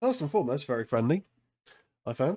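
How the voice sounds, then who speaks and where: This man speaks with an English accent. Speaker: horror podcast host. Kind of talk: casual chat. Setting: live stream.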